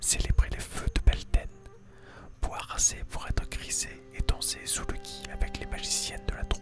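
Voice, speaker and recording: Whispering at a fairly slow pace over music in the background. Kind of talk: ASMR story reading. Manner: whispered.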